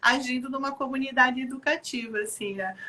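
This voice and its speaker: Her voice is raised and projected, set at a high pitch for a woman. She keeps a moderate pace. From Rio Grande do Sul, southern Brazil. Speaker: children's activity program organizer. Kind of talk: live video chat interview. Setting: online live stream.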